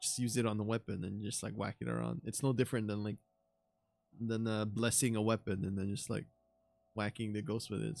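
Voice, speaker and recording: This man talks at a very fast pace. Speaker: anime reaction streamer. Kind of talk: casual commentary. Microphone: studio mic.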